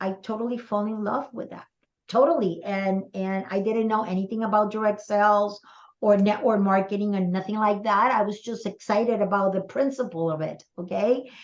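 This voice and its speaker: At a moderate pace, a woman with a Spanish accent speaks in fairly even intonation. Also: medium pitch for a woman. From Puerto Rico. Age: 60s. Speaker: direct sales mentor. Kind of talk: interview.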